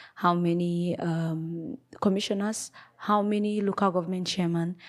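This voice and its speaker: A woman speaks in a medium pitch at a moderate pace, her intonation monotone and flat. The recording is very clean, with a silent background. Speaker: commentary vlogger. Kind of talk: opinion monologue. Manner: halting, with fillers.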